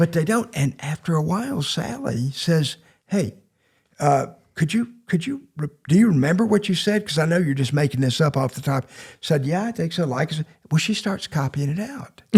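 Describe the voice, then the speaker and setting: The speaker has a Southern US accent and lively intonation. The pace is moderate. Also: man, fairly high pitch for a man. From Mississippi Gulf Coast. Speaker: poet and teacher. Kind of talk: anecdotal storytelling in podcast interview. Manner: halting, with repeated words.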